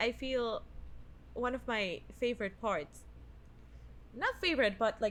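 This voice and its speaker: Speaking with a Spanish accent at a fairly slow pace, a woman sounds animated and leaves long, frequent pauses. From Venezuela. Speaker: podcast co-host. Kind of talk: casual chat.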